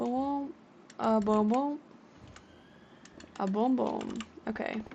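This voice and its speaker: Very slow speech from a woman, fairly high in pitch with ordinary pitch variation, against noticeable background noise. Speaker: gaming streamer. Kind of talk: live gameplay commentary. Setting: live stream.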